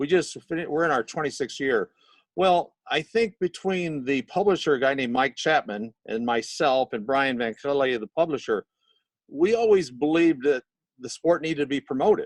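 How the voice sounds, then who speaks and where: A man with an American accent speaks at a moderate pace and fairly high pitch with lively intonation, an unremarkable speaking voice, dry and close with no echo over a quiet background. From Missouri. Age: 60s. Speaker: magazine editor. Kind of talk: interview. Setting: video call, audio only.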